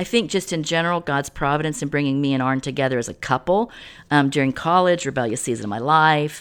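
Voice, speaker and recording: A woman speaks at a very fast pace in a very deep, low pitch. Her intonation is lively, and the background is quiet. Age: 50s. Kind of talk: testimony.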